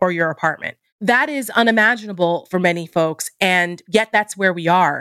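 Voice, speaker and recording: In a normal speaking voice, a woman with an American accent speaks at a moderate pace with ordinary pitch variation, on a very clean recording with a silent background and a dry, close sound with no echo. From New Jersey. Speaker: political commentator. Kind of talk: political interview.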